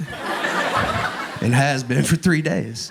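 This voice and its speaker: A man with an East Texas accent and ordinary pitch variation, over noticeable background noise. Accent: Southern US, East Texas. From Northeast Texas. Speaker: stand-up comedian. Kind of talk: stand-up comedy set. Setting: comedy club stage.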